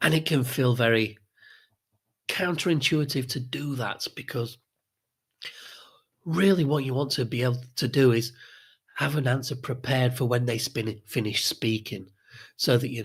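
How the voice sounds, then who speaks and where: In a very clean recording with a silent background, a man speaks at medium pitch and a moderate pace, somewhat breathy, with ordinary pitch variation and long, frequent pauses. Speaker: social skills coach. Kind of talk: tutorial.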